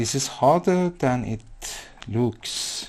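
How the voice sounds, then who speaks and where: The voice moves at a very slow pace while its pitch swings very widely. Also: man. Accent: non-native. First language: not English. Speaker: digital artist. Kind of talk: live painting tutorial.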